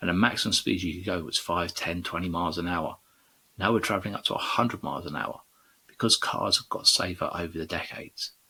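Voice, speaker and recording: A man speaks at a very fast pace with a very deep, low pitch. His intonation stays fairly even. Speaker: podcast host. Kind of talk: educational podcast. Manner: halting.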